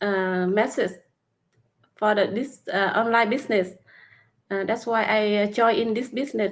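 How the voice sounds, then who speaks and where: In a Vietnamese accent, a woman speaks at a fairly high pitch with fairly even intonation. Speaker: nail technician and online business mentor. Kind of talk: casual interview chat. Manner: halting, hesitant with many fillers.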